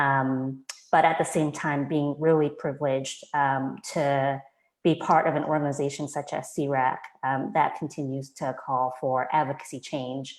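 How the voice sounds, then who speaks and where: A woman with an American accent speaks at a moderate pace in a very deep, low pitch. Her intonation stays monotone and flat. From USA, low-income communities. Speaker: nonprofit advocacy leader. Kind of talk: panel discussion.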